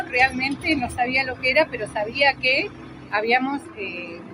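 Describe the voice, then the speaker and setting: A woman's high voice with lively intonation at a fairly slow pace, against noticeable background noise. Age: 50s. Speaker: interviewee. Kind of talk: testimony.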